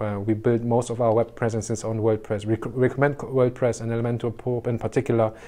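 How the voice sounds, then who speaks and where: A man with a German accent talks at a fairly quick pace in a dark, mellow tone. His intonation is monotone and flat. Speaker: short-term rental business consultant. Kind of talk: tutorial. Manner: halting, many fillers.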